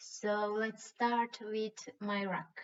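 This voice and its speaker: A woman speaks in a fairly high pitch. She has a Croatian accent. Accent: Croatian accent (self-described as bad). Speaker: rock painting artist. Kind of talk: tutorial. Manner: hesitant, with fillers and restarts.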